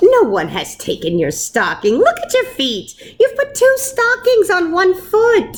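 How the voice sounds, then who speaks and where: A squeaky, put-on character voice at a fairly slow pace. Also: woman, extremely high pitch for a woman. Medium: read story.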